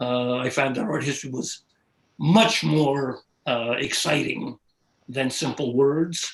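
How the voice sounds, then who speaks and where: A man speaks with a New York accent and ordinary pitch variation. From New York City. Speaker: art historian. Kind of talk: interview. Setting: live video stream. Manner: halting.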